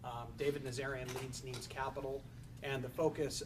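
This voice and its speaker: Audible room echo surrounds a medium-pitched man speaking at a fairly quick pace. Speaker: family office executive. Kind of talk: panel discussion.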